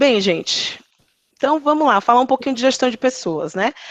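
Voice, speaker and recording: A woman's Bahian-accented voice with lively intonation. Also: dry, close sound with no echo. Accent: Bahian Brazilian Portuguese. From Bahia, Brazil (Ilhéus, southern Bahia). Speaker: HR manager, guest speaker. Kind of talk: online talk to students. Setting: live video call.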